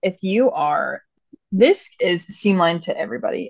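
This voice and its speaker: This is a woman speaking. Her pitch is medium. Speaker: podcast co-host. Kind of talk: casual chat.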